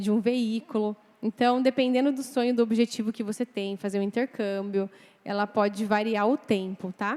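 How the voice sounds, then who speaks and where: A woman with an unremarkable speaking voice talks at a moderate pace in a fairly high pitch, her intonation fairly even, the sound dry and close with no echo. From Brazil, Mogi das Cruzes, São Paulo. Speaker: financial planner. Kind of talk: lecture.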